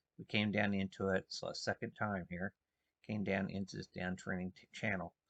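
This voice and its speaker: Soft-spoken and fairly low in pitch, a man talks with fairly even intonation in a dry, close sound with no echo, over a quiet background. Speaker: market trader. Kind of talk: tutorial.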